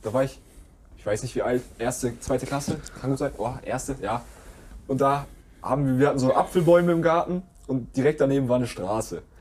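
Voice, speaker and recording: At a fairly quick pace, a man speaks at medium pitch with ordinary pitch variation and long, frequent pauses. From Germany. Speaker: podcast co-host. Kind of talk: casual chat.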